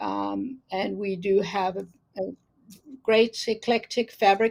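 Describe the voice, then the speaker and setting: This is a woman speaking. She has a South African accent. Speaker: quilter and teacher. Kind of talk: casual interview.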